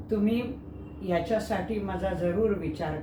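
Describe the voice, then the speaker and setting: The voice belongs to a woman. Background noise is noticeable behind her. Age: 60s. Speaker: actor. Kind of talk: audition self-introduction.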